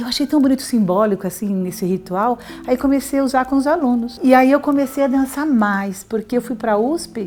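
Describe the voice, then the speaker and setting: Noticeable background noise behind a woman's moderate pace and ordinary pitch variation. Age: 60s. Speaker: university professor, heart attack survivor. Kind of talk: testimony.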